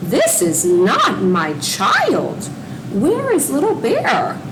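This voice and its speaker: A female-sounding put-on character voice at a very slow pace over loud background noise. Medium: read story.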